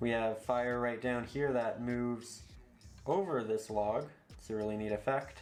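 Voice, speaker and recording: A man at a medium pitch, calm in tone, at a moderate pace with ordinary pitch variation, audible room echo and music in the background. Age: 20s. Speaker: painting instructor. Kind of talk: tutorial. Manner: calm, instructive.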